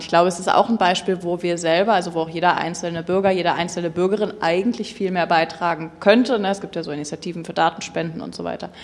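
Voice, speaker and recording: A woman at a very fast pace, fairly low in pitch, with fairly even intonation over noticeable background noise. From Berlin. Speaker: industry association policy lead. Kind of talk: panel discussion.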